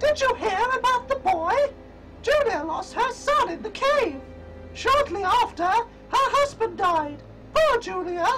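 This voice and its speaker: A squeaky, extremely high put-on character voice speaks at a fairly slow pace. Music plays clearly in the background. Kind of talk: acted game dialogue. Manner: gossipy, sorrowful.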